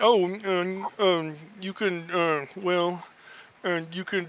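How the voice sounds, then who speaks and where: A man uses a put-on character voice pitched high. He speaks at a very slow pace. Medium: actual play. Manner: hesitant, stammering.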